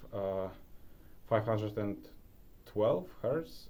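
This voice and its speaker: A man's voice, fairly low in pitch, with a dark, mellow tone. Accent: Polish. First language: Polish. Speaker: self-improvement YouTuber. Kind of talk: casual vlog tutorial. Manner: hesitant, many fillers.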